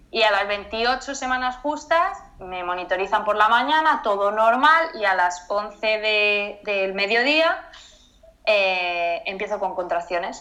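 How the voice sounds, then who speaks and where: A woman's bright, sharp voice, very slow with lively intonation, plus audible room echo. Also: fairly high pitch for a woman. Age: 20s. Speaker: mother sharing pregnancy loss story. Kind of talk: testimony interview.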